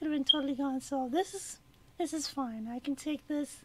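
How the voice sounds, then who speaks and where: A woman speaks at a high pitch with monotone, flat intonation. The recording is very clean, and the background is silent. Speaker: gardening vlogger. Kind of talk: casual personal vlog. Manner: hesitant with fillers.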